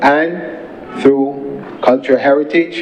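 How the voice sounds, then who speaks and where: Against noticeable background noise, a man speaks at a fairly high pitch with fairly even intonation. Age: 60s. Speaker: senator. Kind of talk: parliamentary speech. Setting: parliament chamber.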